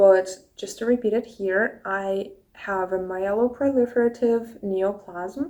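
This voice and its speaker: At a fairly slow pace, a woman speaks at a medium pitch with a dark, mellow tone and ordinary pitch variation. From Russia, Saint Petersburg. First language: Russian. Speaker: YouTuber, cancer patient. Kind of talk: casual Q&A vlog.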